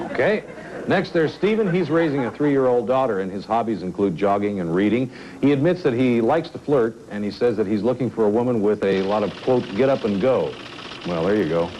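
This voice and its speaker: With noticeable background noise, a man talks at a fairly quick pace in a medium pitch with lively intonation. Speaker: dating show host. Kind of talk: TV dating show.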